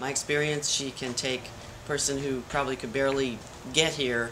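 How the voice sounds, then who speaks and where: Background noise is clearly present. The speaker talks at a medium speed. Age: 60s. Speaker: yoga student. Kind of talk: testimonial.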